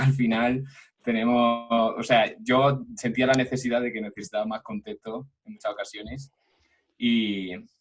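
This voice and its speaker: This man speaks at a fairly slow pace and medium pitch, his intonation fairly even while his loudness swings widely. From Granada, Spain. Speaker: podcast guest. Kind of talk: casual chat.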